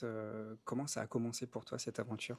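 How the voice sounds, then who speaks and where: A man with a normal speaking voice talks at a fairly quick pace in a medium pitch. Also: dry, close sound with no echo. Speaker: podcast host, coach. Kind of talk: interview questions.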